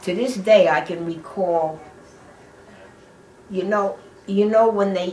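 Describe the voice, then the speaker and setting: A very slow-paced woman's voice at medium pitch, with ordinary pitch variation and noticeable background noise. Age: 80s+. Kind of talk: oral history interview answer.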